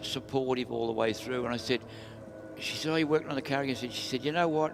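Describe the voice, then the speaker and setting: A man with an Australian accent talks at a very fast pace, with fairly even intonation. Music plays in the background. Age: 80s+. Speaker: retired drag racer. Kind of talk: casual interview. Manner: halting.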